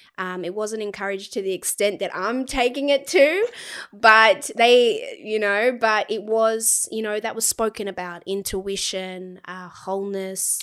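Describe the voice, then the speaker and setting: This woman, with a New Zealand accent, has a fairly high pitch and big swings in loudness. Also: ordinary pitch variation, fairly slow pace. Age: 20s. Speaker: spiritual healer. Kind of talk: casual chat.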